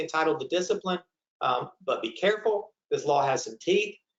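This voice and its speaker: His intonation rises and falls in a lively way. The voice is a man's. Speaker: employment lawyer presenter. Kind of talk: webinar presentation. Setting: online webinar. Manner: fast.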